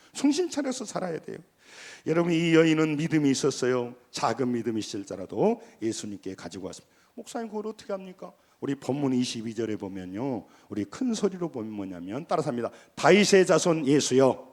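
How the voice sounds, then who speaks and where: Speaking at a fairly quick pace, a man with a fairly high pitch shows very wide pitch swings and big swings in loudness. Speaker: pastor. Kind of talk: sermon. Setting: church. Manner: animated.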